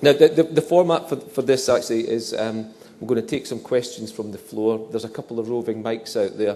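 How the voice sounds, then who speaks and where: A man's medium-pitched voice with a dark, mellow tone, in a Scottish accent, at a fairly quick pace with ordinary pitch variation. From northeast Scotland. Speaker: journal editor, event moderator. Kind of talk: event Q&A moderation. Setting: dinner event, stage lights, audience. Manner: halting, repetitive.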